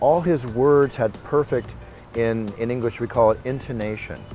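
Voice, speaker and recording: Someone with an American accent speaks at a fairly slow pace while music plays in the background. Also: man. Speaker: combat sports ring announcer. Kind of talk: interview answer. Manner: energetic, enthusiastic.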